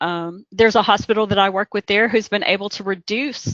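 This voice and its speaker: A woman's medium-pitched voice with an American accent, ordinary pitch variation and a moderate pace. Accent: Southern US (self-remarked, joking). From Kentucky. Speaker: healthcare quality consultant. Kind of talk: webinar presentation. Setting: webcast.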